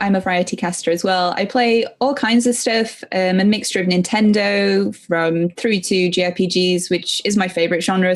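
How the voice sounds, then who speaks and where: Speaking in an English accent, a woman with a medium-pitched voice talks at a moderate pace with ordinary pitch variation. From England. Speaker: streamer. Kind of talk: casual podcast chat. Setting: live-streamed podcast.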